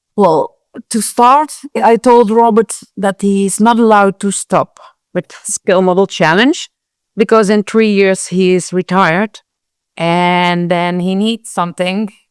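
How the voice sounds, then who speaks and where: Fairly slow, fairly even intonation from a woman with an ordinary speaking voice at medium pitch, dry and close with no echo. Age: 60s. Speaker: scale model show organizer. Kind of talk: interview conversation.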